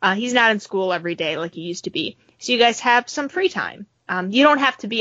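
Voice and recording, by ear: A quiet background, with lively intonation while reading aloud in a natural voice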